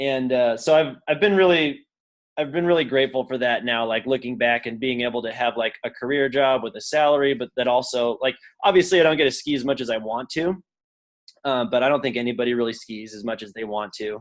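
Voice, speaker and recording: A man with a western US accent talks at a fairly quick pace. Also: medium pitch for a man, ordinary pitch variation. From Utah, Salt Lake City. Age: 30s. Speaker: pro skier and non-profit director. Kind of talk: casual interview chat. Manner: casual, filler-heavy with lots of 'like'.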